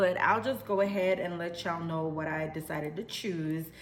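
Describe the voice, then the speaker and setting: A woman speaks in a Jamaican accent, her voice carrying audible room echo. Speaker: vlogger. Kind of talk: casual vlog talk. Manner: animated.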